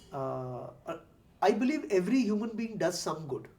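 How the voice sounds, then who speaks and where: A man talks with a high pitch. Noticeable background noise can be heard. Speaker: interviewer, former corporate professional. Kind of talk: interview. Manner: hesitant, many fillers.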